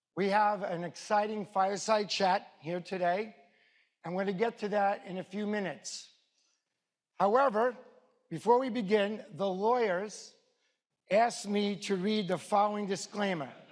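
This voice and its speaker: A man with a New York accent speaks at a high pitch and a moderate pace, his intonation fairly even. He leaves long, frequent pauses. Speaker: event host, wealth advisor. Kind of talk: formal event introduction; read-out legal disclaimer.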